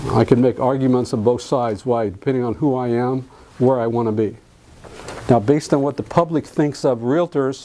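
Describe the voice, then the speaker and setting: There is noticeable background noise as a man with an American accent talks at a fairly quick pace. His pitch is medium and his intonation fairly even. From US South (Alabama). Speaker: real estate contract trainer. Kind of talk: lecture.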